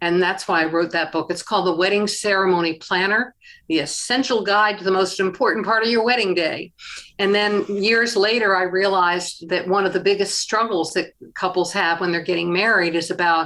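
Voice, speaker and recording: A woman speaks at medium pitch in a bright, sharp tone. Her loudness stays very even and her intonation fairly even. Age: 70s. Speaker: author and interfaith minister. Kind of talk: interview. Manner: hesitant fillers.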